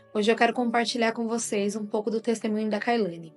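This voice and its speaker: A woman with a fairly high pitch and fairly even intonation, music in the background. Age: 30s. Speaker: mother. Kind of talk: religious testimony.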